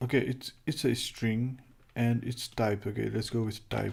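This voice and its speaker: Fairly slow speech in a non-native accent. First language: not English. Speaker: programming livestreamer. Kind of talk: live coding tutorial. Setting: livestream. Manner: halting, many fillers.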